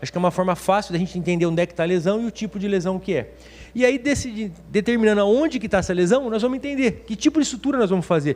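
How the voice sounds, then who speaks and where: A man speaks at a very fast pace in a high voice. His intonation is lively. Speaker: orthopedic surgeon. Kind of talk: lecture. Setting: webinar.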